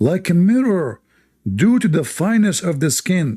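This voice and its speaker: In an Arabic accent, a man speaks with a dark, mellow tone and very wide pitch swings. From Middle East. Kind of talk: live debate with callers.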